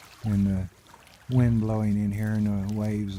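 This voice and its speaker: Noticeable background noise surrounds a man talking at a fairly slow pace. His voice sits fairly low and his intonation is monotone and flat. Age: 60s. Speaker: nature vlogger. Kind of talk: casual narration while hiking. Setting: outdoors by a lake.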